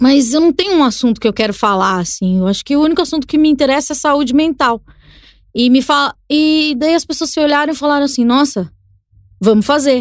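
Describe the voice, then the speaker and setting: Captured in a very clean recording with a silent background, a woman talks at a fairly quick pace with a high pitch, lively intonation and very even loudness. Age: 30s. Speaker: podcaster and communicator. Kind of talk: casual chat. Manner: halting, repeats words.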